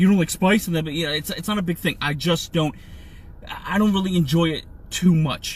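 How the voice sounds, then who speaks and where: Loud and animated, a man with an American accent talks at a very fast pace in a high voice. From New Jersey. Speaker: podcast host and comedian. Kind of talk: casual chat. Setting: live stream.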